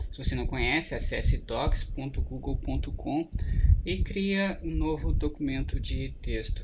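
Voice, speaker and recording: This man talks at a fairly slow pace over noticeable background noise. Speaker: tech tutorial youtuber. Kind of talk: tutorial. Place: home room. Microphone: external mic beside laptop; webcam.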